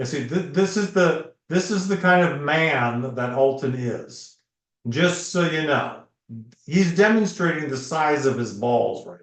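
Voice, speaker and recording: Lively intonation marks a man's fairly high-pitched voice, heard with audible room echo. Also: fairly slow pace. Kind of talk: casual chat. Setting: live stream. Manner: animated.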